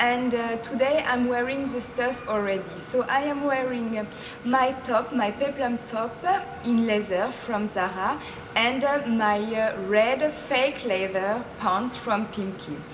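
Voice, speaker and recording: A woman with a French accent speaks very slowly at a high pitch with fairly even intonation, over noticeable background noise. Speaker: fashion blogger. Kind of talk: casual talk to camera. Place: street. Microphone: camera far.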